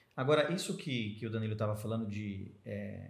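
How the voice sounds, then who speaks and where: Somewhat breathy, a man speaks at a fairly low pitch with ordinary pitch variation. Audible room echo surrounds his voice. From Americana, São Paulo state, Brazil. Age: 30s. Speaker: journalist and press officer. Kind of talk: casual interview chat. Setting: association headquarters.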